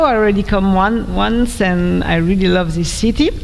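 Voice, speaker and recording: A woman with a French accent speaks at a moderate pace, with audible room echo and noticeable background noise. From France. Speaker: developer relations engineer, conference speaker. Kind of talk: conference talk. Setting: stage with audience.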